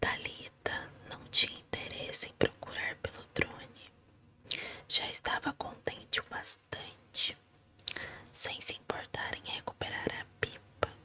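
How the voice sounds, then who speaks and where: Whispering at a very slow pace, a woman's voice rises and falls sharply in loudness over noticeable background noise. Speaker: ASMR reader. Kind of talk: ASMR story reading. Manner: soft-spoken.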